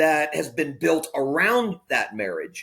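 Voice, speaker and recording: Very wide pitch swings run through a man's speech with an American accent. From Florida. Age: 50s. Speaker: pastor. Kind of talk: interview conversation. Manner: candid, conversational.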